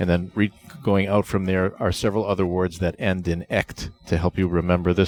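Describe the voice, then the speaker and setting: Monotone, flat delivery in a New England accent at a moderate pace, dry and close with no echo. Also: man. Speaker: project management author and presenter. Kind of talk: interview. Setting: conference venue.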